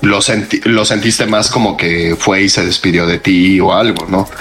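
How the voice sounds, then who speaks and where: With music in the background, a man of fairly low pitch speaks with hardly any pauses, very even loudness and fairly even intonation. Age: 30s. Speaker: podcast co-host. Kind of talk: casual chat.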